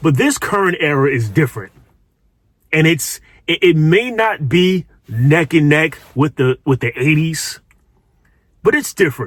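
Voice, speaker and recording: Long, frequent pauses break up the fairly slow delivery, and the intonation is lively. The sound is dry and close, with no echo. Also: man, fairly high pitch for a man. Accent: New York. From New York City. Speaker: social commentary youtuber. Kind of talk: commentary monologue. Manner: casual, with frequent repetitions and fillers.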